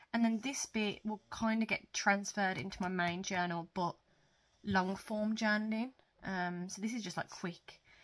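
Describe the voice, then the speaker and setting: The speaker has a British accent and talks at a fairly slow pace. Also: woman. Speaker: journaling YouTuber. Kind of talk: casual show-and-tell vlog. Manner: hesitant, many fillers.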